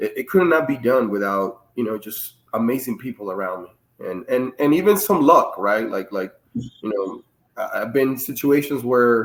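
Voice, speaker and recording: A man's medium-pitched voice with lively intonation. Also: moderate pace. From Dominican Republic. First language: Spanish. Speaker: Navy master chief and author. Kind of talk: interview. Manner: halting.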